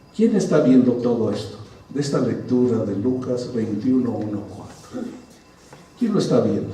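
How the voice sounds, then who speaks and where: There is audible room echo around a man speaking at a medium pitch. His pace is fairly slow, and his pitch variation is ordinary. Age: 60s. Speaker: pastor. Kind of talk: sermon. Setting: church. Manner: conversational, engaging congregation.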